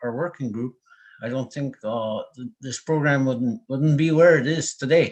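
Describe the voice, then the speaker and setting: This man speaks with a Canadian accent. His pitch is medium, with ordinary variation. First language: Anishinaabemowin. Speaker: species at risk coordinator. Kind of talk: presentation. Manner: halting.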